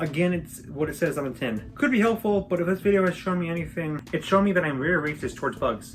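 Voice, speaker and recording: Over music in the background, a woman with a very deep, low pitch talks at a very fast pace with ordinary pitch variation. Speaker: video essayist. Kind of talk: ranking commentary. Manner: fast, jokey list delivery.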